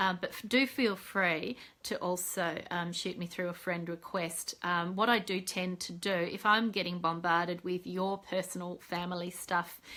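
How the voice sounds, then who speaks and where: A woman with an Australian accent speaks with a bright, sharp tone and fairly even intonation. She leaves hardly any pauses, and the recording is very clean with a silent background. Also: medium pitch for a woman, moderate pace. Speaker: psychologist and mentor. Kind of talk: live video update. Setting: Facebook live video. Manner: casual, many fillers.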